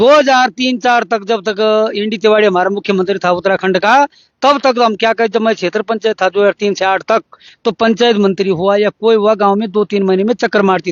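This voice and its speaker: Delivery comes at a moderate pace. Intonation stays fairly even. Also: man, high pitch for a man. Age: 60s. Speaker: villager, former local council member. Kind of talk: interview testimony. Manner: halting.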